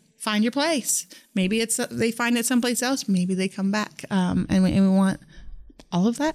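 In a very clean recording with a silent background, a woman with a Midwestern US accent talks at a fairly high pitch with ordinary pitch variation. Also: moderate pace, very even loudness. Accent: US Midwest. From Northwest Kansas. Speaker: teacher. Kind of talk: casual interview. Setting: studio.

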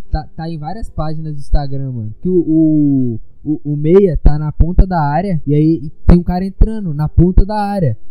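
A man at a fairly high pitch talks at a moderate pace as music plays in the background. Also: ordinary pitch variation, hardly any pauses. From Brazil. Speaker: podcast host, amateur footballer. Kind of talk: casual chat.

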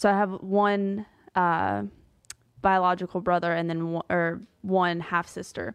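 A woman with an American accent has an ordinary speaking voice, fairly low in pitch. Her intonation is fairly even and her pace fairly slow. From US South, Pensacola, Florida. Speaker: ministry media editor and author. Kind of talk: testimony.

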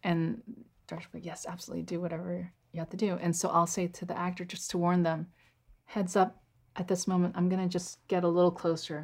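Her voice is somewhat breathy, in an American accent. The woman's intonation stays monotone and flat. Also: fairly low pitch for a woman, fairly quick pace, very clean recording, silent background. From US, northern Virginia. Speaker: cinematographer. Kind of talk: casual interview conversation.

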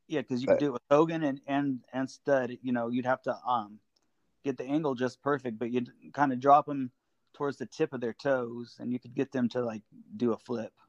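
An ordinary speaking voice, this man's is medium in pitch with fairly even intonation, moving at a fairly quick pace in a dry, close sound with no echo. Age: 40s. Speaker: wrestling fan. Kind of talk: casual chat. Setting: phone call.

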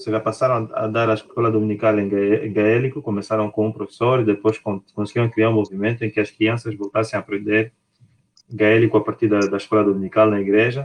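A man speaks at a fairly quick pace in a fairly low voice, his intonation flat and monotone. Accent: Luanda. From Angola. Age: 30s. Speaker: podcast co-host. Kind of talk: casual discussion.

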